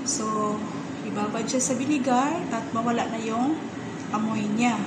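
Loud background noise sits under a woman talking at a fairly slow pace. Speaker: home cook vlogger. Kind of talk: casual cooking tutorial. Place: kitchen. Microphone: phone near.

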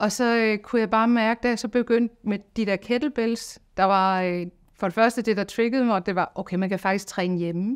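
Over a quiet background, a woman keeps a moderate pace with fairly even intonation and hardly any pauses. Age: 50s. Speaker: singing teacher. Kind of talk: testimony. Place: studio.

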